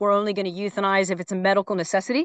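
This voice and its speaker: Against a quiet background, a woman with a plain, everyday voice talks at medium pitch and a fairly quick pace, in a dry, close sound with no echo. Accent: American. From Phoenix, Arizona. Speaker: animal rescue transport director. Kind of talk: interview.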